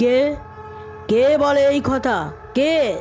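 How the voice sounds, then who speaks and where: Over clear background music, a woman puts on a gruff character voice. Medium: read story. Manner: menacing.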